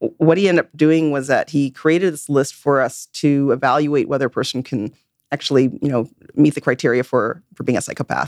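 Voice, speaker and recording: A woman with a western Canadian accent, very deep and low-pitched, with fairly even intonation at a fairly quick pace. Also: dry, close sound with no echo. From Vancouver, western Canada. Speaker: forensic psychologist and professor. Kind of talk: interview. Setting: studio. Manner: halting, frequent repetitions.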